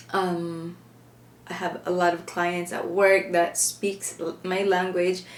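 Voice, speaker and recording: Over noticeable background noise, a woman with a Filipino accent talks at a fairly slow pace. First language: Filipino (Hiligaynon/Ilonggo, Tagalog). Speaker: makeup vlogger. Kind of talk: makeup tutorial. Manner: casual, chatty with some searching for words.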